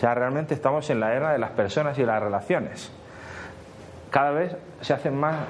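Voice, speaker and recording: A man with a fairly high pitch and ordinary pitch variation talks at a fairly quick pace amid audible room echo. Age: 40s. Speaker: social media consultant. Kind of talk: conference talk.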